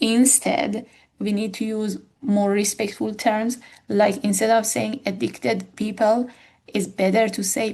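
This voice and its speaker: A woman talks at a fairly slow pace in a dark, mellow tone with vocal fry. Her pitch sits fairly high. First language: not English. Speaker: academic educator. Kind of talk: tutorial. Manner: halting.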